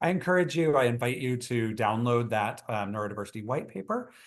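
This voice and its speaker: Talking at a fairly quick pace with an American accent, a man with a medium pitch and ordinary pitch variation is heard over a quiet background. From Texas. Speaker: psychologist. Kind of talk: webinar lecture. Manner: fast.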